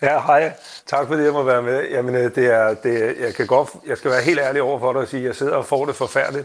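Speaking at a fairly high pitch, a man talks at a fairly quick pace with monotone, flat intonation. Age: 50s. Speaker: listener panel member.

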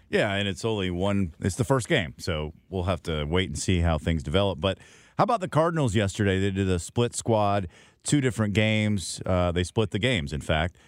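A man's unremarkable speaking voice, fairly low in pitch with lively intonation, on a very clean recording with a silent background. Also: fairly quick pace. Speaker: radio host. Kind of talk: radio sports interview.

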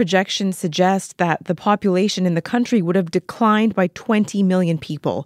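A woman with an unremarkable speaking voice talks at medium pitch with ordinary pitch variation, recorded very cleanly against a silent background with a dry, close sound and no echo. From Vancouver, Canada. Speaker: podcast host. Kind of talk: interview.

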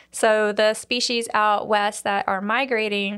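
A flat, monotone intonation runs throughout. The background is silent and the recording very clean. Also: woman. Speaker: museum collections manager. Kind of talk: casual interview, explanatory. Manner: conversational, uses fillers.

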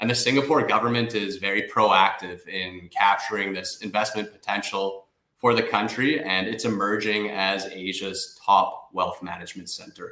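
With a Canadian accent and a plain, everyday voice, a man speaks at a moderate pace in a fairly low pitch, his intonation fairly even and hardly any pauses between words. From Canada. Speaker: investment migration firm director. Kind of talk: radio interview.

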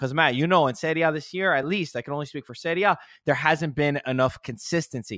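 A man with a bright, sharp tone talks fairly quickly with lively intonation, the recording very clean with a silent background and a dry, close sound free of echo. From US, Italian-American. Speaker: football content creator. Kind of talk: casual chat.

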